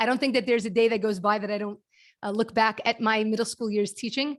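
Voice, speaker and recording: A woman's fairly high voice with a Brooklyn accent, very fast pace, fairly even intonation and a quiet background. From US, Brooklyn New York. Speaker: kindness nonprofit founder and speaker. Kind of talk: presentation to a networking group.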